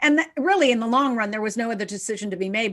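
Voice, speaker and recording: Her intonation lively, a woman speaks in an unremarkable speaking voice at a fairly high pitch. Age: 60s. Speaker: conference organizer and interviewer. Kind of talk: interview.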